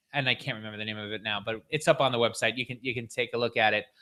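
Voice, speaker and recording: A loud man with an American accent and a bright, sharp tone in a very clean recording with a silent background. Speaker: podcast host. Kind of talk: casual chat. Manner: halting, many repetitions and fillers.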